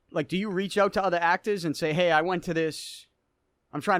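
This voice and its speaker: Moderately paced speech on a very clean recording with a silent background. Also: man. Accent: strong Boston. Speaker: radio host. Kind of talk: casual chat. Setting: studio.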